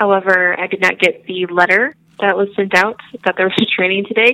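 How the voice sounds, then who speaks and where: This is a normal speaking voice with an American accent. The pace is moderate. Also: woman. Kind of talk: casual chat. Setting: phone call.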